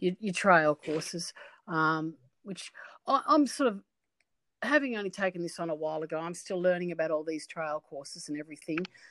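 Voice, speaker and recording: Heard on a very clean recording with a silent background and a dry, close sound with no echo, a woman with an Australian accent and fairly low pitch speaks at a fairly quick pace, with ordinary pitch variation and big swings in loudness. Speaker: horse sport organiser. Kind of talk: interview.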